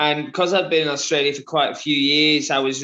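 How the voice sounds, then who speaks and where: A man speaks, his pitch fairly high. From Liverpool, England. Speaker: endurance runner. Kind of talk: interview. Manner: halting, many fillers.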